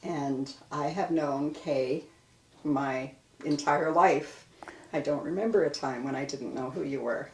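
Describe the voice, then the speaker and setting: A woman's very deep, low voice at a fairly slow pace, with fairly even intonation and noticeable background noise. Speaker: oral history interviewer. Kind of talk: interview questions.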